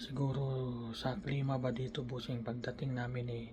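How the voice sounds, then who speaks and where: Noticeable background noise and audible room echo surround a man who speaks at a moderate pace with a medium pitch and monotone, flat intonation. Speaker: vlogger. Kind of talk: casual vlog. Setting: small room at a work camp. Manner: halting.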